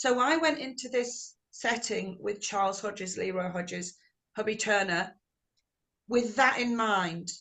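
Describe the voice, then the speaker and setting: The speaker has an English accent and ordinary pitch variation. The pace is fairly slow. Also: woman. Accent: English, kept unamericanized. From England. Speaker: blues singer. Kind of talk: interview. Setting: video call.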